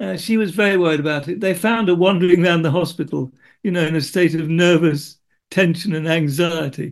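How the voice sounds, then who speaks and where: Quick-paced and high in pitch, a man speaks in a British accent with ordinary pitch variation against a quiet background. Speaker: podcast co-host living with Parkinson's. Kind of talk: casual chat. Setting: video call. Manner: halting.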